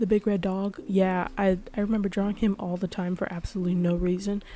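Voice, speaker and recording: A woman with a normal speaking voice, medium pitch and a moderate pace. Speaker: artist and drawing vlogger. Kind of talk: casual chat. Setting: home recording, late at night. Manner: soft-spoken.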